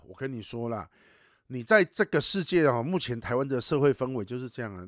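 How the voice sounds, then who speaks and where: Lively intonation from a man, in a dry, close sound with no echo and a very clean recording with a silent background. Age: 40s. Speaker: podcast host and animal rescue advocate. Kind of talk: casual chat. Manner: animated, heated.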